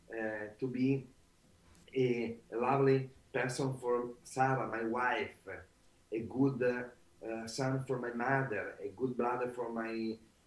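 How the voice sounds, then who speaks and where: A man speaks at a medium pitch in an Italian accent. His delivery is very slow and monotone, flat, with long, frequent pauses. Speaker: author and trainer. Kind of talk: interview. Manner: halting.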